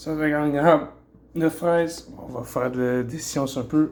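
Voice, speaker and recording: Here a man speaks with a Quebec accent at a fairly slow pace. His intonation is fairly even. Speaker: bodybuilder. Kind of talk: casual talk to camera, fitness vlog. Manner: casual, hesitant.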